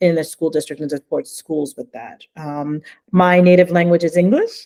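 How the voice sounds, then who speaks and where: The speaker has a New Jersey accent and ordinary pitch variation. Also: woman. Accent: New Jersey American. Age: 40s. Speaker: language education consultant. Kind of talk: webinar presentation.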